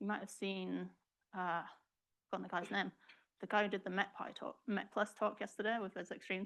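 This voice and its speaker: Over a silent background on a very clean recording, someone with an English accent talks at a fairly quick pace with vocal fry. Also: woman. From England. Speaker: research software programmer. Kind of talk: tutorial.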